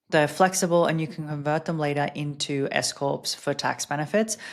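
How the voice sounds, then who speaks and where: A woman with an Australian accent speaks at a moderate pace in a very deep, low voice, her pitch rising and falling in an ordinary way. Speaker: podcast host and business coach. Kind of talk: casual podcast monologue.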